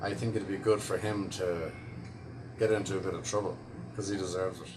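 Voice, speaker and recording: A man with an Irish accent speaks at a fairly quick pace in a fairly low, somewhat breathy voice with ordinary pitch variation, and the room echo is audible. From Ireland, Dublin. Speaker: actor. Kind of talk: interview answers.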